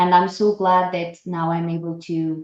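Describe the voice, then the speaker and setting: A woman with a non-native accent speaks at a very slow pace in a fairly low voice. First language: not English. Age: young. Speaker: actress and former nurse. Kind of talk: interview.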